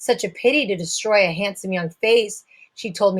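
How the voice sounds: The background stays quiet while a natural reading voice shows ordinary pitch variation.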